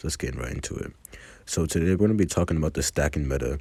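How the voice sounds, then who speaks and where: A man talks at a very fast pace. His voice is very deep and low, with a dark, mellow tone. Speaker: mobile game content creator. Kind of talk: casual gaming commentary.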